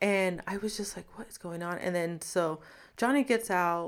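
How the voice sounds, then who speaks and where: An unremarkable speaking voice goes at a moderate pace with ordinary pitch variation. The recording is very clean, with a silent background. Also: woman. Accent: American. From Los Angeles, California. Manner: casual, filler-heavy, laughs.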